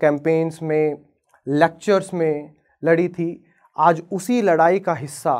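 Against a quiet background, a man with a high pitch talks at a very slow pace. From Haryana, Bhiwani; Haryana, India. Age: 20s. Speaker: advocate; lawyer. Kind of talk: inspirational talk. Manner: dramatic pauses. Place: stage. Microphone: lapel.

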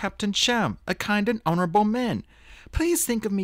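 Someone is reading aloud in a natural voice, with pitch that varies in an ordinary way.

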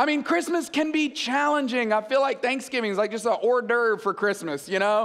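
Extremely high-pitched and animated, a man talks at a fairly quick pace. His loudness stays very even. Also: hardly any pauses. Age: 40s. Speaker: guest preacher. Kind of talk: sermon. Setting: church stage with audience. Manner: conversational, animated. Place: stage. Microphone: headset.

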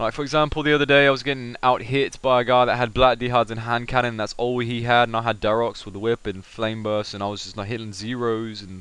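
Very fast and animated, a man with a British accent speaks at medium pitch in a bright, sharp tone. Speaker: gaming video commentator. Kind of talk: gameplay commentary.

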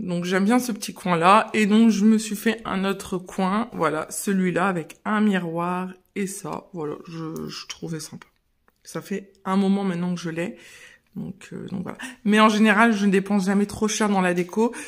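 A woman speaks at a fairly slow pace with fairly even intonation. The background is quiet. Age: 30s. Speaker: mother of three, lifestyle vlogger. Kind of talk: casual house tour talk to camera. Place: home room. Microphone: phone near.

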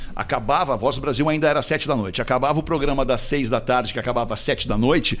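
A man's voice at a fairly high pitch. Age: 50s. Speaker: radio broadcaster and executive. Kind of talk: casual chat.

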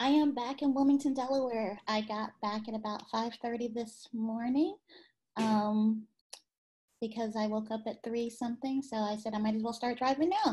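With a dark, mellow tone, a woman talks in fairly even intonation. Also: moderate pace. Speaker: show producer. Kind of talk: casual chat. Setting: video call. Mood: cheerful, smiling. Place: home room. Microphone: video call.

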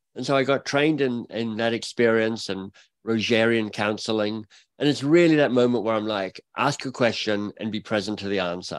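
Recorded very cleanly with a silent background, a man talks at a fairly quick pace with ordinary pitch variation. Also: medium pitch for a man. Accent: Australian. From Australia (Canberra). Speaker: author and coach. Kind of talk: interview conversation.

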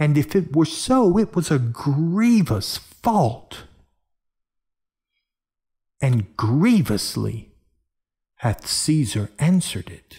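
Using a put-on character voice, a man speaks at a very slow pace with long, frequent pauses, big pitch swings, and a dark, mellow tone with a slightly husky edge. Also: fairly high pitch for a man, very clean recording, silent background.

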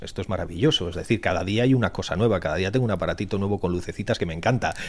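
A man speaks with a very deep, low pitch. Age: 50s. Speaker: cybersecurity entrepreneur. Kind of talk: podcast interview.

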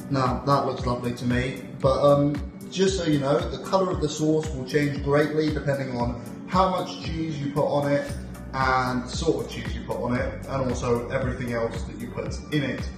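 Clear music plays in the background with audible room echo as a man talks at a moderate pace. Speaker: home cook vlogger. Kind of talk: cooking tutorial. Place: kitchen. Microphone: phone near.

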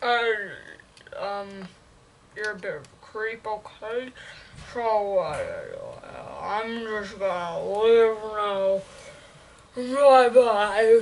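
A put-on character voice at a fairly high pitch. It moves at a very slow pace, with long, frequent pauses.

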